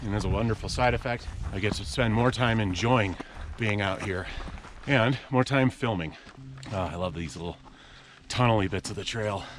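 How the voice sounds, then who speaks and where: Amid noticeable background noise, a man with a fairly low voice speaks with ordinary pitch variation and long, frequent pauses. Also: moderate pace. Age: 40s. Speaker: outdoor vlogger. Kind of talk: vlog monologue while hiking. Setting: outdoors on a hiking trail.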